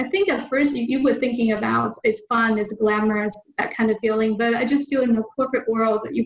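A woman with a Chinese accent speaks at a moderate pace in a fairly high, somewhat breathy voice with fairly even intonation. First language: Mandarin Chinese. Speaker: land investor. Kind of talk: interview. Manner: halting.

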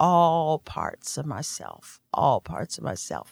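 A woman with an American accent at a very slow pace, dry and close with no echo. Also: very clean recording, silent background. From Indiana, US Midwest. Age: old. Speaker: yoga therapist and teacher. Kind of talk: interview, casual conversation. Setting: studio.

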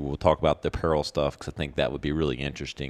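In a dry, close sound with no echo and a quiet background, a man speaks with a very deep, low pitch. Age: 40s. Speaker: podcast host. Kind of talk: casual interview.

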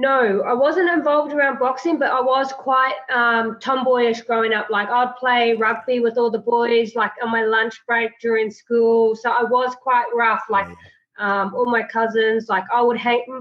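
Speaking at a moderate pace with hardly any pauses, a woman holds a fairly even intonation at a high pitch. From New Zealand, Tauranga, Māori. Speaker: professional boxer. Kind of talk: interview. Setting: remote call. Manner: hesitant, many fillers.

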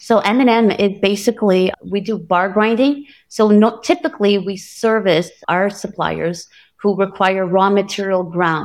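With a normal speaking voice, a woman talks at a fairly slow pace with ordinary pitch variation. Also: medium pitch for a woman. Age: 50s. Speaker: manufacturing company CEO. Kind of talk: interview.

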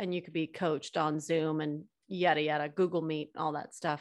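A woman speaks at a moderate pace, with a quiet background behind her. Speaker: podcast host. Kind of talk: casual interview chat. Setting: remote call. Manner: animated, upbeat.

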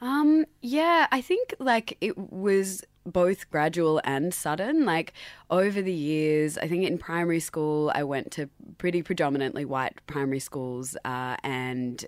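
A woman with an Australian accent, lively intonation and a fairly slow pace, on a very clean recording with a silent background. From Sydney, Australia. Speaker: radio station managing director. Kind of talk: radio interview. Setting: radio studio.

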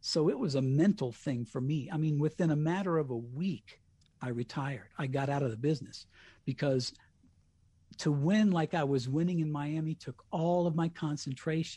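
The voice has a dark, mellow tone with an American accent and is somewhat breathy. It keeps a moderate pace and ordinary pitch variation over a quiet background. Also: man, fairly high pitch for a man. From US Colorado. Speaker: radio host with MS. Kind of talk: casual interview.

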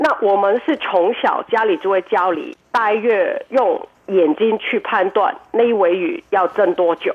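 In a Cantonese accent, a woman talks at a fairly slow pace with a fairly high pitch and very wide pitch swings. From Hong Kong. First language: Cantonese (speaking Chinese). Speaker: restaurant owner and cook. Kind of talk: radio interview. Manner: hesitant, many fillers.

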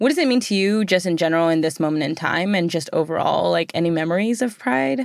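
With an American accent, a woman speaks at a very fast pace with hardly any pauses, using a fairly low pitch, lively intonation, and very even loudness in a very clean recording with a silent background. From United States. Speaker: podcast host. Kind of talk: casual interview.

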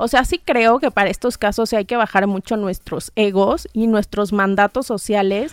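A woman speaks at a moderate pace in a normal speaking voice, with ordinary pitch variation. The sound is dry and close with no echo, a very clean recording with a silent background. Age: 30s. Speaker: sexologist and psychologist. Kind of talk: casual chat.

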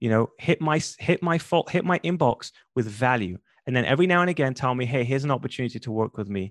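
Speaking very fast with a London accent, a man uses lively intonation at a medium pitch, recorded with a dry, close sound, no echo and a quiet background. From London, England. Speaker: podcast booking entrepreneur and podcast host. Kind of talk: interview conversation. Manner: animated.

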